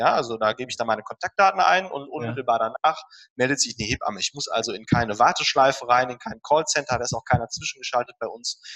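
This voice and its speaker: Talking very fast, a man has a fairly high pitch and lively intonation. His tone is bright and sharp, and the sound is dry and close with no echo. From Ruhr area, Germany (Dortmund). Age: 30s. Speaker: dentist and health startup founder. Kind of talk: interview. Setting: remote call.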